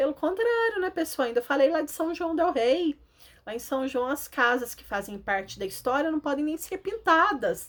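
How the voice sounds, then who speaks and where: Her high-pitched voice moves through very wide pitch swings and big swings in loudness as the woman talks at a moderate pace. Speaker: schoolteacher. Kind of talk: lesson for children.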